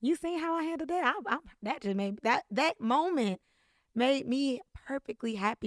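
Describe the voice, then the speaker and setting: A woman speaks in an animated tone with very wide pitch swings. The sound is dry and close, with no echo. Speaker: podcast host. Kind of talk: faith-based monologue. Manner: fast.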